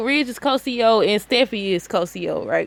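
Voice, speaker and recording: Loud, bright and sharp-toned, with very wide pitch swings. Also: woman. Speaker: soap opera commentator. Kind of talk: casual commentary.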